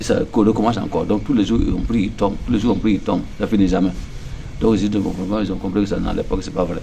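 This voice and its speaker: A man talks at a very fast pace with a fairly low pitch and fairly even intonation. Audible room echo and noticeable background noise fill the recording. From Burkina Faso, northern region. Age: 60s. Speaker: pastor. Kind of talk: testimony. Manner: halting, many repetitions.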